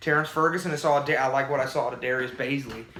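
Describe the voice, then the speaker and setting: A man talks very fast at a fairly high pitch with fairly even intonation. Noticeable background noise and room echo come through. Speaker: sports podcast co-host. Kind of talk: casual sports debate chat. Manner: halting, many repeated words.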